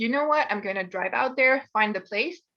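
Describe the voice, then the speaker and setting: A woman with a French accent speaks at a very fast pace in a fairly high pitch with a bright, sharp tone. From France. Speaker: university student. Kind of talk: presentation. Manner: casual storytelling.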